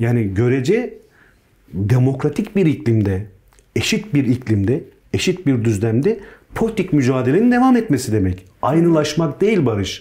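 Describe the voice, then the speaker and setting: Somewhat breathy and dark, mellow in tone, a man's medium-pitched voice swings very widely in pitch while holding very even loudness at a moderate pace. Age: 40s. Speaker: politician, peace delegation member. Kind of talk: interview. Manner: hesitant, many fillers.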